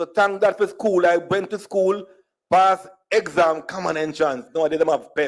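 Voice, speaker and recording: A man with a high pitch and an animated tone, in a Jamaican accent, at a moderate pace. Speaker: speaker at diaspora conference, storyteller. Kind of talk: conference talk, humorous personal storytelling.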